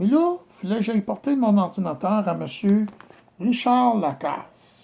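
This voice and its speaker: Speaking with a Quebec accent, a man talks at a fairly slow pace with lively intonation. His voice is high-pitched, with a dark, mellow tone. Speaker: complainant addressing a judge. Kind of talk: personal video statement. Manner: hesitant.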